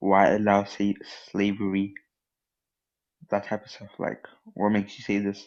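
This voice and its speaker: Soft-spoken and monotone, the voice moves at a moderate pace with long, frequent pauses and big swings in loudness. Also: man, fairly low pitch for a man. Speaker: caller. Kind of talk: casual chat.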